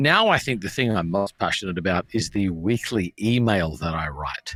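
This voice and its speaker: Lively intonation in an Australian accent at a moderate pace, with a dry, close sound, no echo and a very clean recording with a silent background. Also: man, fairly low pitch for a man. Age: 40s. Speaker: pastor. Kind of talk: casual chat.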